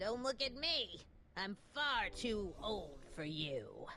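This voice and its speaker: In a put-on character voice, a woman speaks very slowly at a fairly high pitch with very wide pitch swings, over clear background noise. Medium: video game. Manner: prim, condescending.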